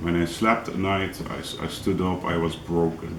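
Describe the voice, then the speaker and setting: A man with a non-native accent speaks at a very deep, low pitch with fairly even intonation. Audible room echo and noticeable background noise surround him. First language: not English. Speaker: angling vlogger. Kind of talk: tutorial. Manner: halting, many fillers.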